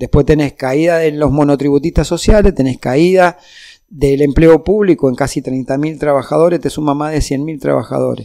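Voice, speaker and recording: A man talks in a dark, mellow tone at a fairly high pitch. His intonation stays fairly even. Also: moderate pace. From Argentina, Mendoza. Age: 60s. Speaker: union leader and politician. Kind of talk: political interview.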